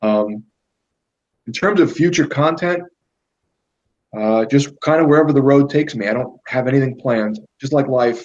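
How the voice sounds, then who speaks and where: A man with a New York accent and a fairly high pitch speaks at a moderate pace with ordinary pitch variation and long, frequent pauses. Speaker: YouTuber. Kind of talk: casual chat.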